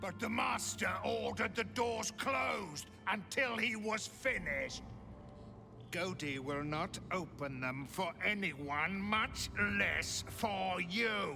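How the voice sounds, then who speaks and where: A man's cartoonish character voice, high in pitch and fairly slow, over loud background noise. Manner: gloating, speaks of himself in third person.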